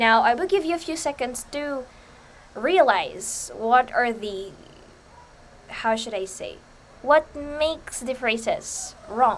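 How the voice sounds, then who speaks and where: Speaking very slowly with long, frequent pauses, a high-pitched woman with a Visayan Filipino accent uses lively intonation and big swings in loudness. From Philippines, Bisaya-speaking region. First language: Bisaya. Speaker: student presenter. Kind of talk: lecture. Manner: halting.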